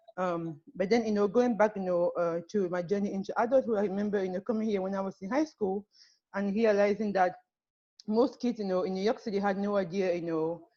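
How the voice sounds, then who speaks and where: A dark, mellow voice with a French accent, fairly quick pace and fairly even intonation. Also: woman, medium pitch for a woman. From Cameroon. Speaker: panelist sharing life story. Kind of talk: personal testimony. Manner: halting, many fillers.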